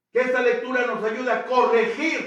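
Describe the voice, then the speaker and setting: A man with an extremely high pitch, with audible room echo. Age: 80s+. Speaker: priest. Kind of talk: sermon. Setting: church.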